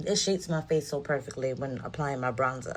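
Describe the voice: A woman talks at a moderate pace with an extremely low pitch. Her pitch varies in an ordinary way.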